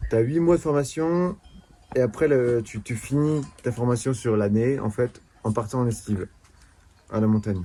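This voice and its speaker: A man's dark, mellow tone at medium pitch, moderate in pace, with ordinary pitch variation. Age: 20s. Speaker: shepherd. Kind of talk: interview. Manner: halting.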